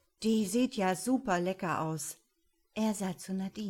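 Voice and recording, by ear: With a quiet background, a text is read aloud in a natural voice.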